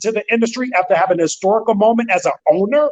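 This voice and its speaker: Speaking very fast in an animated tone, a man with an American accent uses a high voice with ordinary pitch variation. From St. Louis, Missouri. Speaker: entrepreneur, company founder. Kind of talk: interview.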